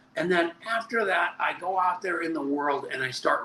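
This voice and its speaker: Amid noticeable background noise, a high-pitched man speaks at a moderate pace with lively intonation. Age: 70s. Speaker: network marketing leader. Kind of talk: interview.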